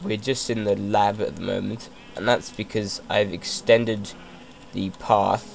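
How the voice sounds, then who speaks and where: A man's fairly low voice at a fairly slow pace, fairly even in intonation, with noticeable background noise. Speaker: gamer. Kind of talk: casual gameplay commentary. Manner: hesitant, many fillers.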